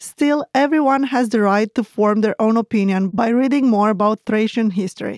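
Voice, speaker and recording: At a moderate pace, a voice with a Romanian accent keeps very even loudness and ordinary pitch variation, in a dry, close sound with no echo and a very clean recording over a silent background. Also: woman, fairly high pitch for a woman. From Romania (Moldova region). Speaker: language teacher host. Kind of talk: educational lesson dialogue.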